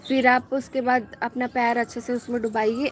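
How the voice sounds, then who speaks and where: Light background noise sits behind a woman speaking at a high pitch. Her pace is fairly slow and her intonation fairly even. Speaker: beauty channel host. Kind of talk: live stream chat and tips. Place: street. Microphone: phone near.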